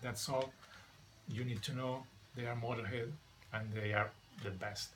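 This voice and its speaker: A man with a Spanish accent at a medium pitch, moderate pace and fairly even intonation, amid noticeable background noise. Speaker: record collector vlogger. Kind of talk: casual video monologue. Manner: halting, many fillers.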